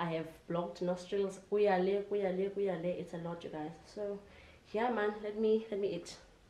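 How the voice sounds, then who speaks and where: In a South African accent, a woman speaks at medium pitch and moderate pace with flat, monotone intonation and audible room echo. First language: Xhosa. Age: 20s. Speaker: vlogger. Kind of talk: casual vlog talk to camera.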